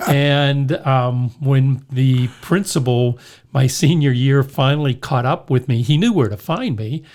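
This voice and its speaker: A plain, everyday voice from a man with an American accent, medium pitch and ordinary pitch variation, at a fairly slow pace. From US, Pittsburgh area, western Pennsylvania. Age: 60s. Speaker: hardware store owner and radio show host. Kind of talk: casual interview, storytelling.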